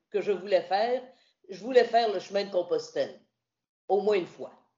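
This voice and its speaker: Her pitch variation is ordinary. The woman talks in a Quebec accent. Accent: Québécois French. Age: 60s. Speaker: radio host and journalist, retired. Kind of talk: interview about hiking pilgrimage.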